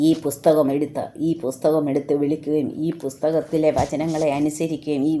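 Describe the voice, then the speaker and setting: The woman's voice sits at a very deep, low pitch and carries a dark, mellow tone. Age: 60s. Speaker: lay preacher. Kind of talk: sermon. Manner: halting.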